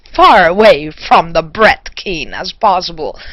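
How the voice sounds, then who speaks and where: Against noticeable background noise, the voice moves at a fairly slow pace. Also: woman. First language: German. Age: 40s. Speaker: vlogger. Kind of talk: response video rant.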